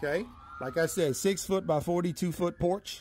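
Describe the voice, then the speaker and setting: The speaker has a Southern US accent. Pitch variation is ordinary. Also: man. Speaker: cabin salesman. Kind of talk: tour guide walkthrough and sales pitch, talking to the camera. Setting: filming on location, outdoors and inside a cabin. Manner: casual, upbeat, chatty; folksy, friendly, rambling.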